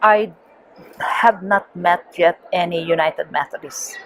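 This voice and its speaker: A woman in a Filipino accent speaks slowly-ish at a fairly low pitch with fairly even intonation, over noticeable background noise. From Philippines. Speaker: missionary and theology teacher. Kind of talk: interview. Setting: conference. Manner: halting.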